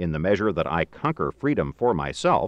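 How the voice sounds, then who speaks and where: Heard in dry, close sound with no echo and a quiet background, a man speaks with vocal fry and very wide pitch swings. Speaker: audiobook narrator. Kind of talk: audiobook reading of a philosophical text, scripted narration.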